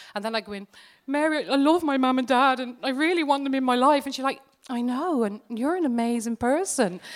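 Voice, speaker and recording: An animated woman with an English accent, high pitch, ordinary pitch variation and a fairly quick pace. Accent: English-sounding accent despite being Irish. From Ireland, raised partly in England. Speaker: psychologist and lecturer. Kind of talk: interview. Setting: live stage with audience.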